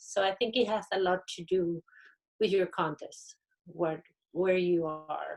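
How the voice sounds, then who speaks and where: A woman talks at a medium pitch. Her intonation holds fairly even. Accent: Spanish. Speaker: university panelist. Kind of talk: panel discussion.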